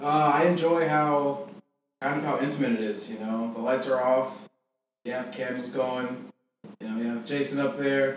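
Speaking at a fairly slow pace with long, frequent pauses, a man uses a fairly high pitch with ordinary variation. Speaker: podcast guest, visiting camp alumnus.

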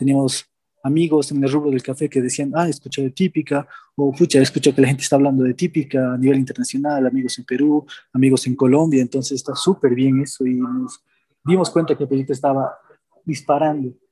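Dry and close with no echo, a man's voice comes at a fairly quick pace, pitched fairly high, with a dark, mellow tone and monotone, flat intonation. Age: 20s. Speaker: café co-founder. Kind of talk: interview testimony.

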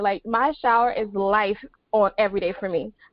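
In an unremarkable speaking voice, a woman with an American accent and a fairly high pitch talks at a moderate pace with fairly even intonation. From US South, Beaufort, South Carolina. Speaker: financial educator. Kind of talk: panel discussion. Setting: video call.

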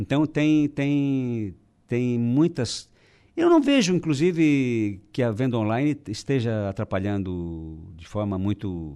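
A man speaks very slowly in a dark, mellow tone, his pitch swinging very widely. The background is quiet. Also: medium pitch for a man. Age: 60s. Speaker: business association president. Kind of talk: radio interview. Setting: radio studio.

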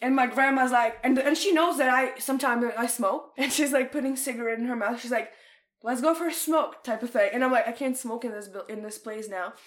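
A woman with a Russian accent speaks in an animated tone at a high pitch and fairly quick pace. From Ukraine, Odessa. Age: 20s. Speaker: podcast guest. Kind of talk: casual chat.

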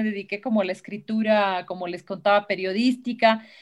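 Fairly even intonation carries a woman's speech along at a fairly quick pace. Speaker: writer and film professor. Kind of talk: interview conversation. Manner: halting, repeats words.

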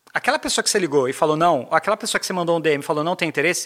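A man's raised, projected voice, bright and sharp in tone, with lively intonation. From Brazil, São Paulo (Zona Leste). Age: 30s. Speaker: sales manager. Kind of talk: casual interview.

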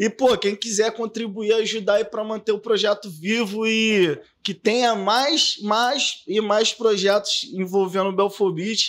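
A man speaks at a fairly slow pace with hardly any pauses. His pitch is high and his intonation fairly even. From Baixada Fluminense, Rio de Janeiro, Brazil. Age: 30s. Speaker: podcast host. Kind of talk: casual chat.

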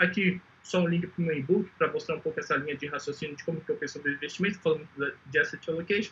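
A man's fairly high voice holds a fairly even intonation. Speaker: entrepreneur pitching an investment startup. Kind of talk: startup pitch presentation. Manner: fast; clear.

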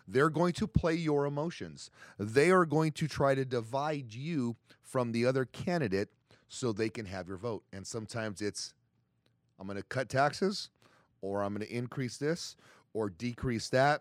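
A man at medium pitch and moderate pace with lively intonation, on a very clean, silent-background recording with dry, close sound and no echo. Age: 50s. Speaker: podcast co-host, supplement store owner. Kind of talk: casual chat.

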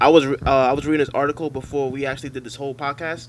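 Here is an unremarkable speaking voice with an American accent. The pace is fairly quick. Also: man. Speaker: podcast co-host. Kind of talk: casual banter.

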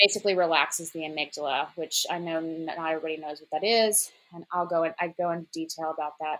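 Delivered at a very fast pace with hardly any pauses, the speech has fairly even intonation but big swings in loudness. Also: woman, fairly low pitch for a woman. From Memphis, Tennessee. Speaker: recovered addict. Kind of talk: interview, personal testimony.

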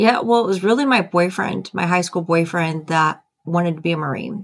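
A woman with an American accent has an unremarkable speaking voice, talking at a moderate pace with ordinary pitch variation. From US Midwest, rural Ohio. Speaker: stand-up comedian and retired army officer. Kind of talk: interview.

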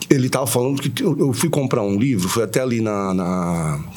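A man's medium-pitched voice with very wide pitch swings at a moderate pace, audible room echo and noticeable background noise. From Santos, Brazil. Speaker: singer-songwriter. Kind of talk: interview.

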